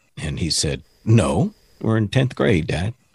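In a dry, close recording with no echo and a quiet background, a man speaks at a fairly slow pace in a somewhat breathy, fairly low voice with very wide pitch swings. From Texas. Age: 50s. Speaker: motivational speaker and preacher. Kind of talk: casual interview.

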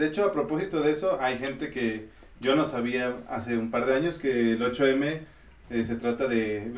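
Male speaker at medium pitch with ordinary pitch variation and a moderate pace, plus noticeable background noise and audible room echo. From South America. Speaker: podcast host. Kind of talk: casual chat.

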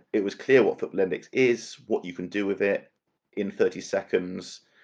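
Against a quiet background, a man with a West Country accent speaks at a moderate pace. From Bristol, south-west England. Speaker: marketing and communications professional. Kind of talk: casual chat.

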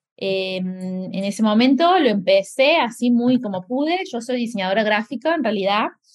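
Somewhat breathy and at a fairly high pitch, a woman talks at a moderate pace with lively intonation and hardly any pauses. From Argentina, Córdoba. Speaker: graphic designer and blogger. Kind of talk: interview. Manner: halting, many repetitions.

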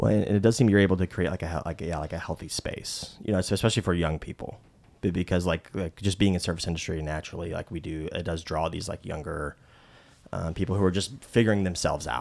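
A man's very deep, low voice at a very fast pace, with ordinary pitch variation. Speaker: podcast host. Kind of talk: casual group conversation. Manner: halting, many fillers.

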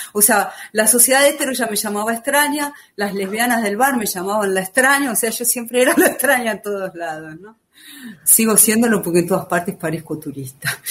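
A woman with a fairly high voice talks at a fairly quick pace, her intonation lively. Her loudness swings widely, and there is noticeable background noise. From Argentina, Buenos Aires. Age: 50s. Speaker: writer and former activist. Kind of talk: podcast testimony.

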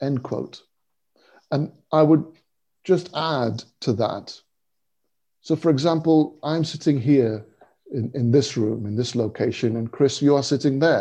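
A man's fairly high voice in a dark, mellow tone, with ordinary pitch variation and a quiet background. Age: 50s. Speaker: spiritual seeker and interfaith writer. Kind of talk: interview. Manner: halting, many repeated words.

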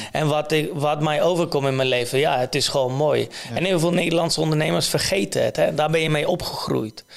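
A man with a Polish accent, fairly high in pitch, at a fairly quick pace, with fairly even intonation, very even loudness and noticeable background noise. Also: hardly any pauses. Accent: Polish accent in Dutch. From Poland. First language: Polish (speaking Dutch). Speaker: entrepreneur. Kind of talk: interview. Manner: halting, many fillers.

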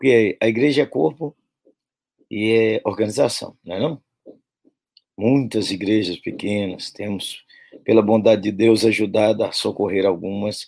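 Pausing long and often, a man with a fairly low pitch talks fairly slowly, his pitch varying in an ordinary way. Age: 60s. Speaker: pastor. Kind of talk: sermon-style talk to pastors. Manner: animated, folksy.

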